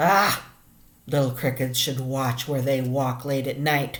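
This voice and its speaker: Putting on a character voice, a woman speaks fairly slowly in a very deep, low, rumbling register. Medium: read story. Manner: slow, kindly.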